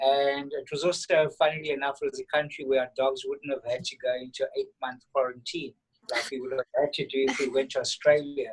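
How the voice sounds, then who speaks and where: Talking in a South African accent, a man keeps a fairly quick pace. He leaves hardly any pauses. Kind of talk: casual interview. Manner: halting, repeats words.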